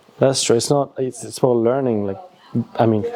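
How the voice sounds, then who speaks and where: A man talks at a medium pitch while noticeable background noise carries on underneath. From Nepal. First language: Nepali. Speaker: YouTuber. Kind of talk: casual chat. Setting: antique shop.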